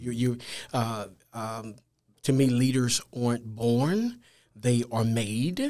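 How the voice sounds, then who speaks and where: A man with a Louisiana accent speaks at a medium pitch in a dark, mellow tone, his intonation fairly even. He goes at a very slow pace with long, frequent pauses. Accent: Louisiana Southern US. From Louisiana (Natchitoches). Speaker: school administrator, pastor and author. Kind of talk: interview.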